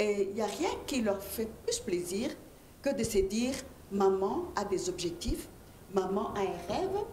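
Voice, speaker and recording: Speech at a fairly slow pace swings very widely in pitch, with long, frequent pauses, audible room echo and noticeable background noise. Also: woman. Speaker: entrepreneurship coach. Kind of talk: panel discussion.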